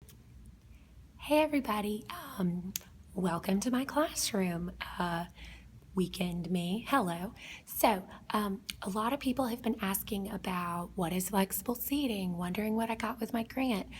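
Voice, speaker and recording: A woman with a Southern US accent speaks at medium pitch and a fairly slow pace. Her voice is somewhat breathy, with ordinary pitch variation. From South Georgia, US. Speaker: kindergarten teacher. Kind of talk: casual classroom tour narration. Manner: whispered.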